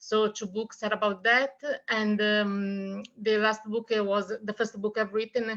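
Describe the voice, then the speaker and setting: The speaker has an Italian accent and a fairly slow pace. Intonation stays monotone and flat. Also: woman, fairly high pitch for a woman. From Italy. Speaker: author. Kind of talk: interview.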